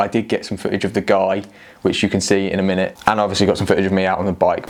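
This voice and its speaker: A man speaks with a fairly low pitch over noticeable background noise. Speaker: cycling vlogger. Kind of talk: casual vlog talk to camera. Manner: speaking quieter than usual.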